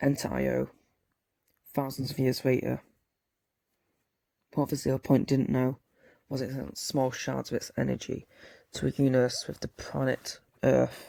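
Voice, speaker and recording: In a put-on character voice, a man speaks raspily at medium pitch and a moderate pace, leaving long, frequent pauses. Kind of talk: amateur audiobook reading. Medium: read story. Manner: earnest, stumbling.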